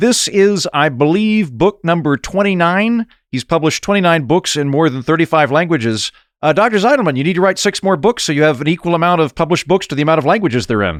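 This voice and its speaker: A man's high-pitched voice at a very fast pace, with lively intonation. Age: 30s. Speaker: podcast host. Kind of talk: interview.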